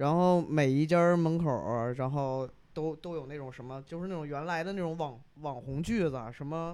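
At a moderate pace, a man with a plain, everyday voice speaks in a fairly high pitch. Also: fairly even intonation. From Yunnan, China. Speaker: podcast listener guest, silver craftsman. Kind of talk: casual chat. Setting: recording at host's home.

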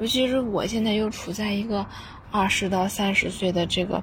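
Her medium-pitched voice carries audible room echo as the woman talks at a moderate pace with ordinary pitch variation. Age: 20s. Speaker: university student listener. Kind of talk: recorded voice message. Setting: outdoors on school rooftop.

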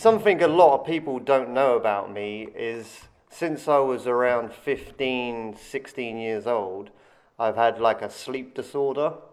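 With an English accent, a man talks at a fairly slow pace in a medium pitch, his pitch varying in an ordinary way. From England. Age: 40s. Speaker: skateboarder and former soldier. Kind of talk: interview. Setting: skatepark.

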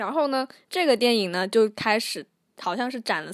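Recorded very cleanly against a silent background, a woman with an unremarkable speaking voice talks at a fairly quick pace with ordinary pitch variation. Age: young. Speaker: podcast co-host. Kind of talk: casual chat.

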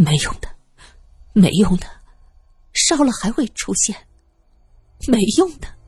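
Delivered at a fairly slow pace, this put-on character voice has a husky, rough edge, a slightly mellow tone, and big pitch swings. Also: woman, medium pitch for a woman.

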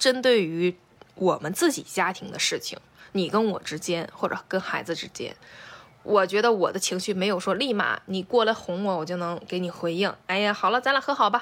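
Delivery moves at a moderate pace. An animated tone comes with ordinary pitch variation. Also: woman, medium pitch for a woman. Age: 30s. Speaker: podcast co-host. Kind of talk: casual chat.

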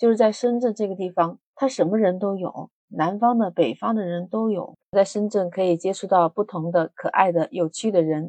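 In a dry, close recording with no echo, a woman speaks at a moderate pace and medium pitch, her dark, mellow tone showing ordinary pitch variation. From Hunan, China. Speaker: podcast host. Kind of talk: casual monologue.

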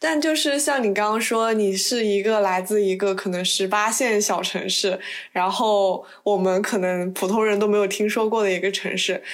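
Audible room echo surrounds speech delivered at a moderate pace, with hardly any pauses and very even loudness. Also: woman, medium pitch for a woman, ordinary pitch variation. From China. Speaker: podcast host. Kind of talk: casual chat.

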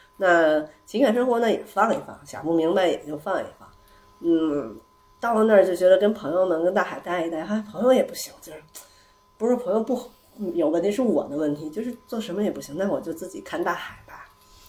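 A woman with a medium-pitched voice talks at a fairly quick pace with lively intonation. Her loudness swings a lot, and there is noticeable background noise. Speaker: returning guest, host of the gathering at her home. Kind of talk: casual chat. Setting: living room at her home, echoey.

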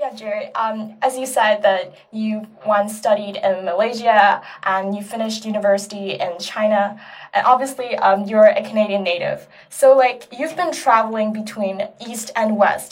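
A woman talks at a moderate pace with a plain, everyday voice. Her pitch sits fairly high, with ordinary pitch variation. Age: 20s. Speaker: student podcast host. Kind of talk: interview.

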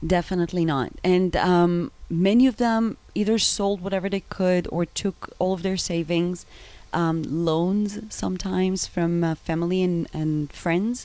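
A woman with a dark, mellow tone and medium pitch speaks at a fairly slow pace with fairly even intonation. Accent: Israeli. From Israel. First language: Hebrew. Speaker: travel agency founder. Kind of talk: interview.

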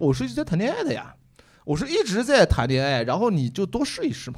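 A man speaks at a very fast pace, his pitch swinging very widely. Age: 30s. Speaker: comedian. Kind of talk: casual chat. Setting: stage with audience.

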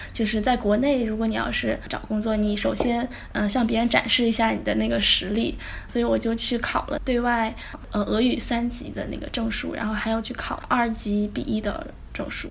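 Amid noticeable background noise and audible room echo, a woman speaks at a moderate pace, her fairly high voice fairly even in intonation. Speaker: recent graduate in Russian translation. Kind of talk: casual interview.

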